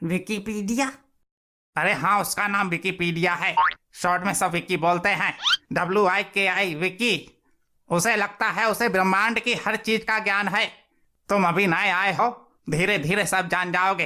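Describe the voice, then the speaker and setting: A cartoonish character voice at a middle pitch and moderate pace plays over sound effects in the background. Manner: complaining.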